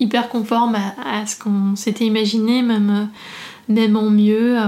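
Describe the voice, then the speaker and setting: Her voice is fairly high for a woman. She talks at a very slow pace. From northeastern France, near Reims. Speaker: business founder. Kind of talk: interview. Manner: halting, many hesitations.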